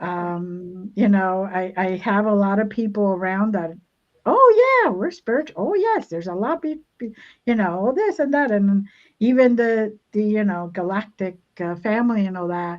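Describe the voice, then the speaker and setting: A woman talks at a moderate pace with a medium pitch. Her pitch variation is ordinary. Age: 60s. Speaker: spiritual healer. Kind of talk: casual chat. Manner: halting, with many repeated words.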